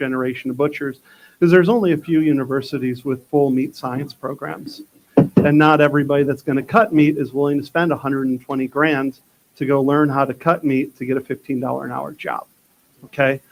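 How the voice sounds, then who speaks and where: A man with a normal speaking voice and an American accent talks at a fairly quick pace with a fairly high pitch and fairly even intonation. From Texas. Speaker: butchery instructor. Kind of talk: workshop talk. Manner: casual, conversational.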